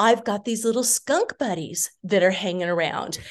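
A woman's plain, everyday voice, fairly high in pitch, with an American accent at a moderate pace. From California. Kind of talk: casual interview.

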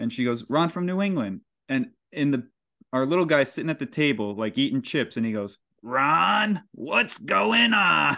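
A man with an American accent speaks at a moderate pace in a fairly high voice with very wide pitch swings. The background is quiet. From Hudson Valley, New York. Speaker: podcast host. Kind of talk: casual chat.

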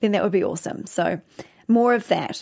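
A woman speaks in a New Zealand accent. Her pitch is fairly high. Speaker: co-host, dancer, dance company owner. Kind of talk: casual chat review.

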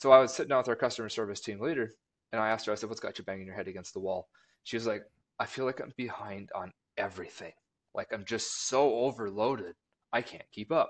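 With an Upper Midwest accent, a man talks at a very fast pace. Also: medium pitch for a man, ordinary pitch variation. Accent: Upper Midwest (Minnesota). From Minnesota (rural southwest). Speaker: marketing director. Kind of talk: casual chat.

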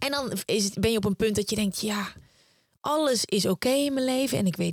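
Having an ordinary speaking voice, a woman talks at a fairly quick pace with ordinary pitch variation, in a dry, close sound with no echo. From Netherlands, Brabant (Uden). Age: 30s. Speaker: podcaster and author, former TV presenter. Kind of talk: interview.

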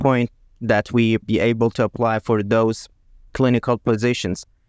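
Speaking with an Iranian accent, a man talks at a moderate pace and medium pitch in a dry, close sound with no echo. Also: quiet background. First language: Persian. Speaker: urologist, clinical fellow. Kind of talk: podcast interview conversation.

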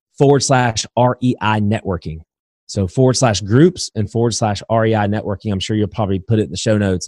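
In a very clean recording with a silent background and a dry, close sound with no echo, a man with an American accent and a plain, everyday voice talks at a fairly quick pace, his fairly low pitch showing ordinary variation. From Indiana, US Midwest. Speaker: real estate investor and educator. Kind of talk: interview.

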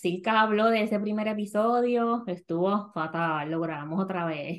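The woman's pitch is fairly high. Her intonation is lively. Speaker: podcast host, personal finance educator. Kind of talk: casual chat.

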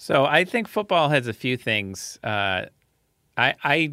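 A man talks at a fairly slow pace in a bright, sharp tone. The recording is very clean and silent in the background, with a dry, close sound and no echo. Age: 30s. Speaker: research fellow and journal editor. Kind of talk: casual panel discussion.

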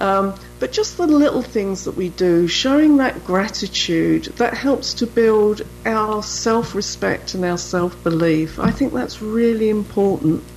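Someone speaks at a fairly slow pace with a British accent. Noticeable background noise sits behind the voice. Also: woman. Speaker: author and menopause expert. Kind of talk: radio interview.

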